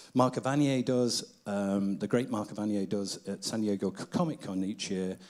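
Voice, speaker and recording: Speaking with a Manchester accent, a man uses a fairly low pitch with ordinary pitch variation. He keeps a moderate pace with hardly any pauses. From Manchester, northern England. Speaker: event host, cartoonist. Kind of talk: stage hosting.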